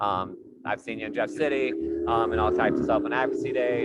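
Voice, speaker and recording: At a fairly quick pace, a man talks with an American accent. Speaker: formerly incarcerated advocate. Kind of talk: panel discussion. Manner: loud.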